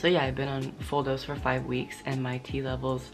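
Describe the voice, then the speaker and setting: A man speaks at a fairly quick pace. Behind him, music is playing. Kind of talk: casual talk to camera.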